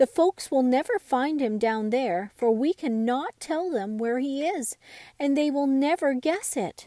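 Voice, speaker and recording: Putting on a character voice at a high pitch, a woman speaks at a moderate pace in a very clean recording with a silent background. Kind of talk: bedtime story. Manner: worried.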